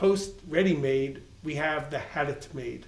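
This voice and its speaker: A man at a fairly slow pace with fairly even intonation, amid audible room echo. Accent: Long Island. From Long Island, New York. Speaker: art world interviewer. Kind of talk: interview.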